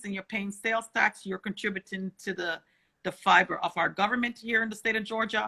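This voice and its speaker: A woman's fairly high, bright and sharp voice at a fairly quick pace, with fairly even intonation and a dry, close sound free of echo. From Ontario, Canada (born in Jamaica). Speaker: state legislator. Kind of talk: explanatory talk. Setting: livestream.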